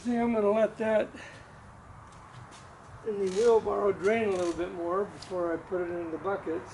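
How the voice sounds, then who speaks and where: Speech comes at a moderate pace with a Pacific Northwest accent and fairly even intonation. Long, frequent pauses break it up, and background noise is noticeable. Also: man, high pitch for a man. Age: 70s. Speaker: retired home composter. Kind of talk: casual how-to narration.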